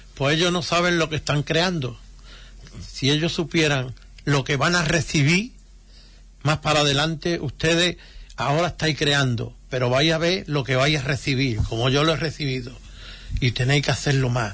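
Speaking against a quiet background, a man has a fairly high pitch and a bright, sharp tone. His pitch variation is ordinary, and he leaves long, frequent pauses. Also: moderate pace, very even loudness. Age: 70s. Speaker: retired brotherhood volunteer. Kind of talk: radio interview.

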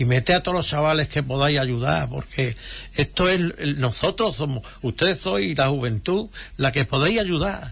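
Against a quiet background, a man talks with vocal fry. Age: 70s. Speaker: retired brotherhood volunteer. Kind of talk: radio interview.

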